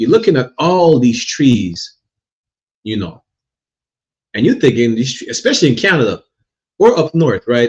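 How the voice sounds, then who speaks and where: Long, frequent pauses from a somewhat breathy man at a moderate pace, with very wide pitch swings. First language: not English. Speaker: religious teacher. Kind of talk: religious class lecture. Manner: repetitive, stammering restarts.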